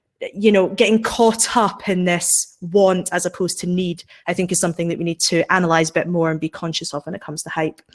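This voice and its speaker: Speaking very fast with hardly any pauses, a woman with a Scottish accent and a fairly low pitch keeps a fairly even intonation. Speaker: science and technology writer, author. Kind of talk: panel discussion. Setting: live webinar.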